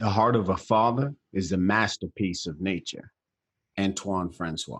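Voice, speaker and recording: An unremarkable speaking voice at a fairly slow pace, with ordinary pitch variation and a dry, close sound free of echo. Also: man, fairly low pitch for a man. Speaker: podcast host. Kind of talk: podcast interview host talk.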